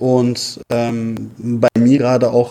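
A dark, mellow tone comes through. The sound is dry and close, with no echo at all. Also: man. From Berlin, Germany. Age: 30s. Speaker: FIFA and mental coach. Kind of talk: interview.

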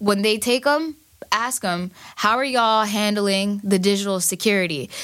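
Fairly slow speech with a New York accent. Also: woman. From Queens, New York. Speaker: cybersecurity technologist. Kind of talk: casual chat.

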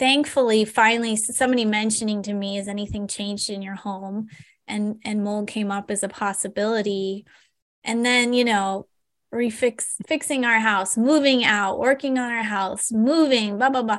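A woman has an ordinary speaking voice with a fairly high pitch and fairly even intonation. The background is quiet. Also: moderate pace. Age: 40s. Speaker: acupuncturist and health educator. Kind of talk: casual interview.

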